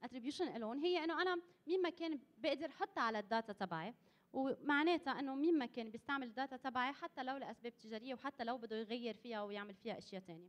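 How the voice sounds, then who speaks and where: Speaking fairly quickly with a Lebanese accent, a woman uses lively intonation at a high pitch. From Lebanon. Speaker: conference presenter. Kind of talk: workshop presentation. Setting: conference hall with audience. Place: hall. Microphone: podium.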